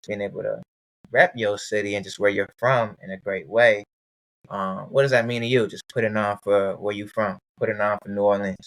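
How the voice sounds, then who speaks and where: Using a plain, everyday voice, a man talks at a fairly quick pace and fairly low pitch with fairly even intonation, in a dry, close sound with no echo. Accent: American. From Maryland. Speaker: podcast host. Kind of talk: casual interview.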